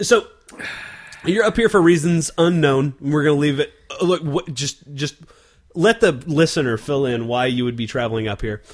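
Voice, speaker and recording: A man with an American accent talks at a moderate pace with lively intonation, and there is noticeable background noise. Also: fairly high pitch for a man. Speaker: beer podcast host. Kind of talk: casual chat. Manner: loud.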